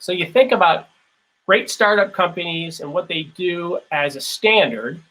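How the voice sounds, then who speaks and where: A man with an American accent and a high pitch, at a fairly slow pace with big swings in loudness. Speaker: keynote speaker, former theme park company leader. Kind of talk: lecture.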